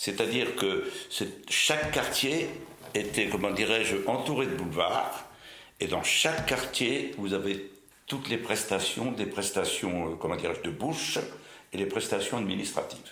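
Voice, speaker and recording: Lively intonation from a man, with audible room echo. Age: 80s+. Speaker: retired butcher. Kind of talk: oral history interview. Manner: hesitant, many fillers.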